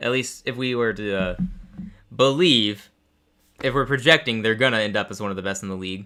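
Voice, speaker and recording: Over music in the background, a man with an American accent talks at a fairly quick pace. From Texas. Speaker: sports streamer. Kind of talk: live game reaction commentary. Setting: live stream. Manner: casual, with frequent fillers.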